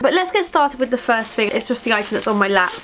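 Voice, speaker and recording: A woman talks at a high pitch with very wide pitch swings. Noticeable background noise can be heard. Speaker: beauty vlogger. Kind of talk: casual product review vlog.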